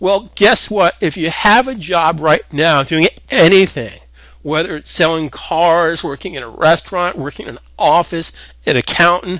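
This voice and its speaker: High-pitched male voice with a bright, sharp tone, ordinary pitch variation and a moderate pace. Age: 50s. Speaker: software instructor. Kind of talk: tutorial. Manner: casual, halting with repetitions.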